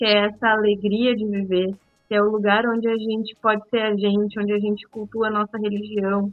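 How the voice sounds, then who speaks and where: The woman's fairly high voice keeps a monotone, flat intonation at a fairly quick pace. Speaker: podcast co-host. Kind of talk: podcast discussion. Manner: speaking softly, child asleep.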